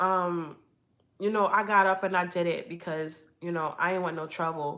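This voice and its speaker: In an American accent, a woman with a plain, everyday voice speaks at a moderate pace and a medium pitch. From Red Hook, Brooklyn, New York. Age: 30s. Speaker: YouTuber. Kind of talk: live stream storytelling. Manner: casual conversational.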